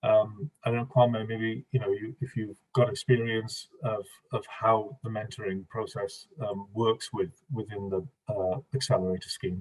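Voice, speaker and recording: This man's voice is somewhat breathy, pitched in the medium range. His pitch moves with ordinary variation. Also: moderate pace. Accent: Welsh. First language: Welsh. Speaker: panelist from Welsh music organisation. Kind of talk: online funding workshop Q&A. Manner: hesitant, many fillers.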